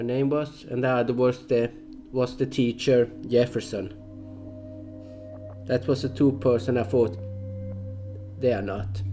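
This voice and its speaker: Over music in the background, a man with a medium pitch and ordinary pitch variation speaks at a fairly slow pace with long, frequent pauses. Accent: non-native. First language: not English. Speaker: gaming commentator. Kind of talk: gameplay commentary. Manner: halting.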